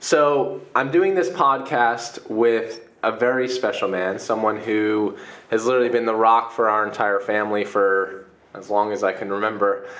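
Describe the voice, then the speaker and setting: Noticeable background noise sits under a man's voice. He speaks at medium pitch and a moderate pace, with ordinary pitch variation. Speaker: podcast host. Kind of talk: podcast interview. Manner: casual, conversational.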